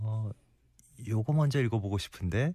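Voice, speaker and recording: On a very clean recording with a silent background, a man speaks at a moderate pace in a fairly low, dark, mellow voice. He sounds somewhat breathy, and his intonation is lively. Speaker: radio host. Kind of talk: casual chat. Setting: studio.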